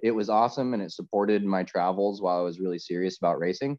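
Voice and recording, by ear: A man speaks at a fairly quick pace in a low pitch. His tone is slightly mellow, with ordinary pitch variation.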